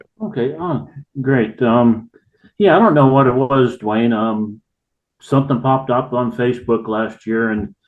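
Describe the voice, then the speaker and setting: At a fairly slow pace, a man with a normal speaking voice talks at a medium pitch with ordinary pitch variation. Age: 60s. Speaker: volunteer fishing guide and veteran. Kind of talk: casual podcast interview.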